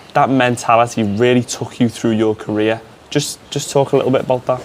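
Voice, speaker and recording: Over noticeable background noise, a man with a Liverpool accent speaks with fairly even intonation. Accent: Scouse. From Liverpool, England. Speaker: sports media student interviewer. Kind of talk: interview.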